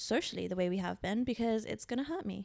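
In a very clean recording with a silent background, a woman with a British accent talks at a fairly quick pace. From Britain. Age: 30s. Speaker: podcast co-host. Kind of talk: casual chat.

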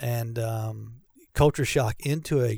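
A man speaks in a somewhat breathy voice of medium pitch on a very clean recording with a silent background. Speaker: pastor of recreation. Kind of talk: casual interview chat. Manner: joking, playful.

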